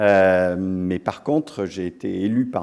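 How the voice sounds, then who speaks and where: A man's very deep, low voice with an English accent at a very slow pace, on a very clean recording with a silent background. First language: English (speaking French). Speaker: business school dean and professor. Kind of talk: ceremony speech. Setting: lecture hall with audience. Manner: hesitant, many fillers.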